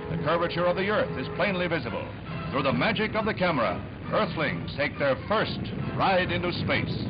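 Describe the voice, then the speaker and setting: A man talks at a fairly quick clip amid loud background noise. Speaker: newsreel narrator. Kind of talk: newsreel narration. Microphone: old recording.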